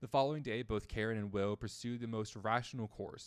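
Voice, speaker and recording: A man with an ordinary speaking voice talks at a fairly quick pace and medium pitch, with fairly even intonation. The recording is very clean, with a silent background. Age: 20s. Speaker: streamer. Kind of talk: casual chat; reading aloud. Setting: live stream.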